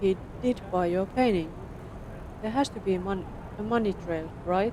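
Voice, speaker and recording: Clear background noise accompanies speech delivered at a moderate pace. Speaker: vtuber streamer. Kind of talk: reading game text aloud. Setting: live stream.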